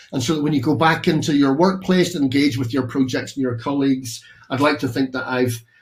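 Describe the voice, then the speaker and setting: A man with a Northern Irish accent talks at a fairly quick pace. His voice is somewhat breathy, with ordinary pitch variation. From Northern Ireland. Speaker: architect and professor, keynote speaker. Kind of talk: keynote presentation. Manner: halting, many fillers.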